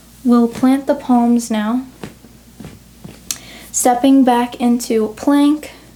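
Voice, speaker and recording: A woman with a high pitch speaks very slowly in a flat monotone, leaving long, frequent pauses over noticeable background noise. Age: 20s. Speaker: yoga teacher. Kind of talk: guided yoga class instruction.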